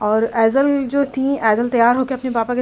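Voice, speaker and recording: Pitched high, a woman speaks at a fairly slow pace with monotone, flat intonation. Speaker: family vlogger. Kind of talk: vlog voice-over narration.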